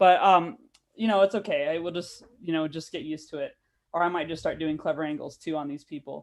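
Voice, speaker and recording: A woman with an ordinary speaking voice and an American accent, fairly low in pitch with ordinary pitch variation, at a fairly quick pace with big swings in loudness. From United States. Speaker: comedian. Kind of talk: stand-up. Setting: video call.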